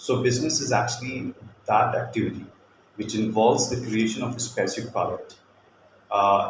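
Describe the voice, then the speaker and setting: A man with an Indian accent speaks at a moderate pace with long, frequent pauses in a room with audible echo. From India, Kolkata. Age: 40s. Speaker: teacher. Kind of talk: demo lesson. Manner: hesitant, many fillers.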